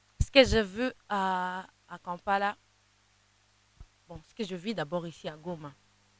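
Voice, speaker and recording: A woman with an eastern Congolese accent and a medium pitch speaks at a very slow pace, with long, frequent pauses, big swings in loudness and ordinary pitch variation. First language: Kinande (speaking French). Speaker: gospel singer. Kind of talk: interview. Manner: halting, many repetitions.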